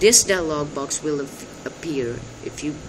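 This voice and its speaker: Someone with a non-native accent speaks at a fairly slow pace with ordinary pitch variation over noticeable background noise. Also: man. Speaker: amateur tech tutorial maker. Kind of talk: screen-recording tech tutorial. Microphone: phone near.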